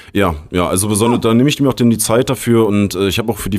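A man speaks in a relaxed tone with ordinary pitch variation. The recording is very clean, with a silent background. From Berlin. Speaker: technical support agent. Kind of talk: casual interview.

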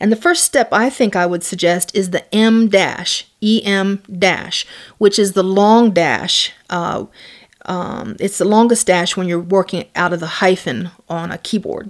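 In a very clean recording with a silent background, a woman speaks fairly slowly in a normal speaking voice. Her pitch is medium and her intonation fairly even. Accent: American. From US South. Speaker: academic author. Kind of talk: lecture.

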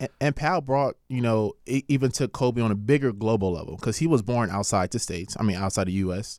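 In a very clean recording with a silent background and a dry, close sound with no echo, a man with a medium pitch talks very fast with hardly any pauses and ordinary pitch variation. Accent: American. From Los Angeles (Carson, Lynwood). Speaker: stand-up comedian. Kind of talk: casual chat.

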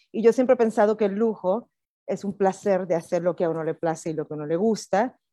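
Dark and mellow in tone, a woman speaks at a moderate pace with ordinary pitch variation. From Puerto Rico. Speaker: hotel director. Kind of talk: interview.

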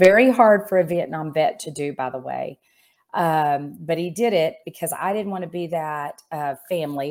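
In a very clean recording with a silent background, a woman with a very deep, low voice speaks in an American accent at a moderate pace with ordinary pitch variation. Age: 50s. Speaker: insurance executive and business coach. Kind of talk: interview.

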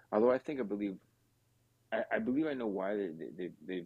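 Over music in the background, a man with a fairly low pitch talks at a fairly quick pace with lively intonation. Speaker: Argentina football fan guest.

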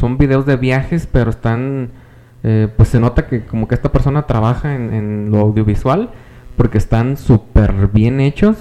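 A man's unremarkable speaking voice at medium pitch, fairly slow, with ordinary pitch variation. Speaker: podcast co-host and teacher. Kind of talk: casual chat.

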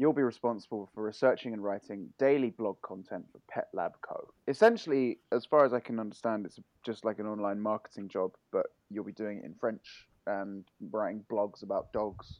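This man has a plain, everyday voice, fairly low in pitch, with ordinary pitch variation at a moderate pace. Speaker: podcast host. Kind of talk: casual chat.

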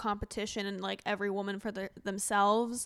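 A woman talks at a moderate pace with fairly even intonation. She has a normal speaking voice. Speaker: podcast host and comedian. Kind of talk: casual chat. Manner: laughs often.

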